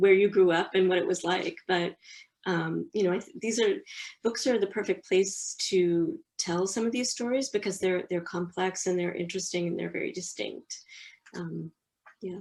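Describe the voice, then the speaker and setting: With an American accent, a woman uses a normal speaking voice at medium pitch, moderate pace and ordinary pitch variation. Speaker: publishing professional. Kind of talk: interview.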